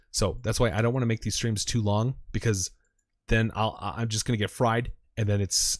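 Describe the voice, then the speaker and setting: Here a man talks at a fairly quick pace in a somewhat breathy voice. The recording is very clean, with a silent background. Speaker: crypto chart analyst streamer. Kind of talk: live stream technical analysis. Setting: live stream. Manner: animated.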